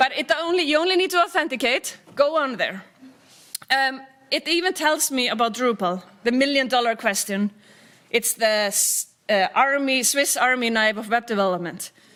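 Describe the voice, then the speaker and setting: Speaking with an Icelandic accent, a woman uses lively intonation at a high pitch and a moderate pace. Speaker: tech company CEO, keynote speaker. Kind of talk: conference keynote.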